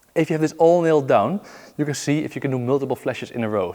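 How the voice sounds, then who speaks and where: A man talks at a very fast pace. His pitch is fairly high, with ordinary variation. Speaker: juggling teacher. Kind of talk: tutorial. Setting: filming himself while practising. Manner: counting aloud rhythmically.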